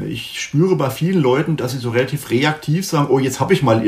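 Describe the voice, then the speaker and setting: Speaking fairly quickly, a man uses a medium-pitched, somewhat breathy voice whose pitch varies in an ordinary way. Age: 50s. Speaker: sales director. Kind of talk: interview. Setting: video call.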